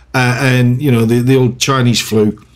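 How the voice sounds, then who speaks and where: A man speaks at a moderate pace with a British accent. Noticeable background noise runs behind him. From UK. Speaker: gaming YouTuber. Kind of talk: gameplay commentary with casual rant. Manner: hesitant, lots of fillers; animated.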